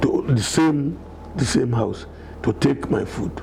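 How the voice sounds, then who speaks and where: A man of medium pitch with a Nigerian accent, over noticeable background noise. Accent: Nigerian (Yoruba) English. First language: Yoruba. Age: 70s. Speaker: elder telling his life story. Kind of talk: interview.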